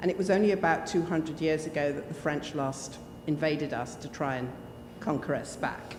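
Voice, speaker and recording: Someone talks at a fairly quick pace. Noticeable background noise and audible room echo are in the recording. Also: woman, very deep, low pitch for a woman, ordinary pitch variation. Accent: English. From Jersey, Channel Islands. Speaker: church panelist. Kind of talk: personal testimony at forum. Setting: church hall with handheld microphone.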